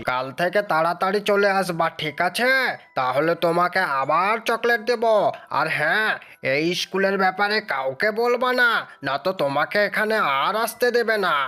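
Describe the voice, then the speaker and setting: A cartoonish character voice at a middle pitch. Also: fairly slow pace. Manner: scolding, authoritative.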